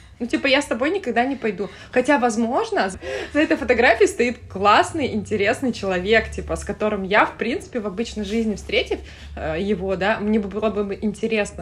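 A woman's fairly high voice carries vocal fry. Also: ordinary pitch variation, fairly quick pace. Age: 30s. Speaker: florist and entrepreneur. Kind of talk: casual chat.

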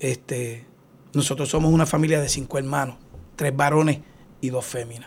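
On a very clean recording with a silent background, a man with a fairly high pitch speaks somewhat breathily at a moderate pace with fairly even intonation. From Puerto Rico, Aguas Buenas. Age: 50s. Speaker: retired police officer. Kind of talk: interview.

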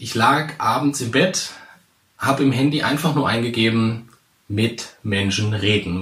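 This man has a normal speaking voice at a medium pitch. His pitch varies an ordinary amount. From central Hesse, Germany. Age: 30s. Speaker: podcast host, public speaking coach. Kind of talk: solo podcast introduction.

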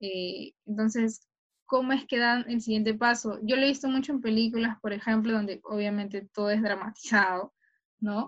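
A woman's somewhat breathy voice at a fairly high pitch, with fairly even intonation and a moderate pace. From Peru, Callao. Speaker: sports journalist. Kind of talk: interview.

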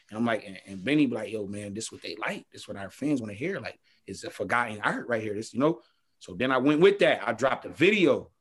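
Very fast and full of very wide pitch swings, a man at medium pitch speaks in an American accent with big swings in loudness. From Buffalo, New York. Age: 20s. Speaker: rapper. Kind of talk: casual interview chat. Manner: halting, repeats words.

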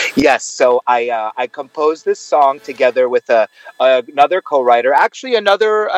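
A man with a New York accent speaks at a fairly high pitch with ordinary pitch variation, the sound dry and close with no echo. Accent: New York American English. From US Northeast, Brooklyn, New York. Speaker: actor and singer. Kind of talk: interview.

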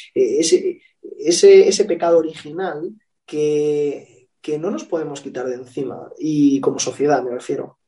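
Moving at a fairly slow pace, a man talks with big swings in loudness. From Spain. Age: 30s. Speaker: political consultant. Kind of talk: interview.

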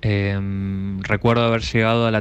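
Speaking very slowly, a man with a fairly low pitch and ordinary pitch variation is heard against a quiet background. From Argentina, northern Neuquén. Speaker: radio listener sending a voice message. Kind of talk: recorded listener anecdote. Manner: halting, many repetitions.

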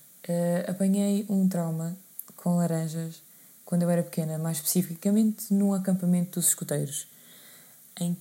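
The woman's voice has a dark, mellow tone and is somewhat breathy. Her pitch is medium. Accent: European Portuguese. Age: 20s. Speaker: podcast host. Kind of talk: casual monologue. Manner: hesitant, many fillers.

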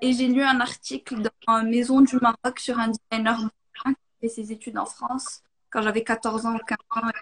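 A woman's flat, monotone voice, fairly high in pitch, at a moderate pace with long and frequent pauses, recorded close and dry without any echo. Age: 20s. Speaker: industrial designer. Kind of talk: casual interview.

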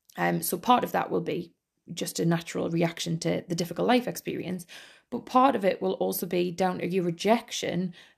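A woman speaks with a Geordie accent, fairly low in pitch with vocal fry. She goes at a fairly quick pace on a very clean recording with a silent background. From northeast England. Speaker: podcast host. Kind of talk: scripted-style solo podcast monologue, casual and informal. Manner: casual, humorous, laughs often.

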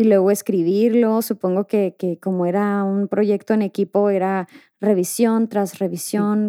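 A woman with a Mexican accent speaks at a moderate pace and medium pitch, her tone dark and mellow and her intonation monotone and flat, in a very clean recording with a silent background and a dry, close sound with no echo. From Mexico. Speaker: podcast host. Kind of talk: casual interview chat.

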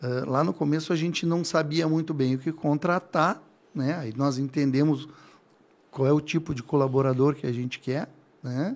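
At a moderate pace, a man speaks in a fairly high voice with fairly even intonation. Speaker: furniture store owner. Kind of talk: interview. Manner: calm.

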